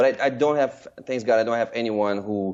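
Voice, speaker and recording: A man speaks with a Russian accent. His pace is moderate. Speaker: screenwriter and director. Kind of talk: interview. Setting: podcast interview.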